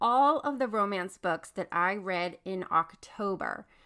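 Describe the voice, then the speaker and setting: A woman speaks in an animated tone. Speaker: book podcast host. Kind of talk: casual monologue.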